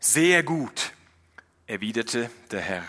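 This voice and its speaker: In a bright, sharp tone, a man talks with very wide pitch swings. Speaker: preacher. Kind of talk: sermon in German, thematic Bible teaching delivered to a church congregation. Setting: church. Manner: earnest, explanatory, structured and clearly paced; warm pastoral tone; formal, teacherly, with points enumerated and scripture read aloud, ending in prayer.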